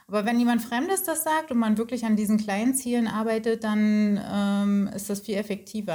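At a moderate pace, a woman with a medium-pitched voice sounds dark and mellow, somewhat breathy. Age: 30s. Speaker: coaching client. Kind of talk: interview.

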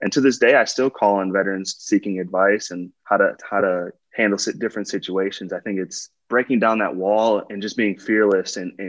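With an American accent, a man talks at a moderate pace in a fairly low pitch with fairly even intonation, a plain, everyday voice against a quiet background. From Wisconsin (West Bend, near Milwaukee). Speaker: professional football player. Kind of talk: interview.

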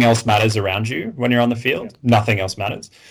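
Speaking with an Australian accent, a man delivers his words in a monotone, flat intonation. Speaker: community member interviewee. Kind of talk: casual chat. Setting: remote call.

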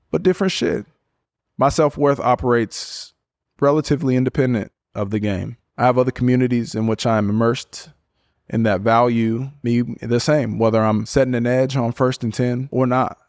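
An unremarkable speaking voice from a man at a medium pitch, with ordinary pitch variation and a moderate pace, dry and close with no echo on a very clean recording with a silent background. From US West Coast (Portland, Oregon). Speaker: podcast host and NFL football player. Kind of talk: solo podcast reflection.

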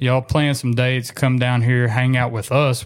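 A man at a moderate pace, with a Southern US accent. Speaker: duck hunter, podcast host. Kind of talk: casual chat.

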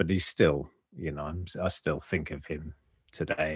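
A man speaks with a very deep, low pitch. His intonation stays fairly even at a moderate pace. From Wales, Cardiff (moved from Kent at seven). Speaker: golf writer. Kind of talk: casual interview chat.

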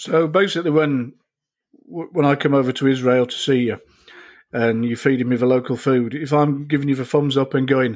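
A man talks with a British accent at a fairly high pitch. His pace is moderate and his pitch varies an ordinary amount. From UK. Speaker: podcast host and military veteran. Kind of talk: casual chat.

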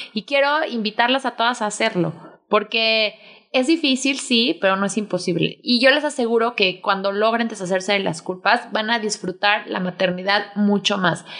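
Against a quiet background, a woman speaks at a moderate pace in a bright, sharp tone, her fairly high pitch showing ordinary variation. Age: 30s. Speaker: podcast host and mother. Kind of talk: casual chat.

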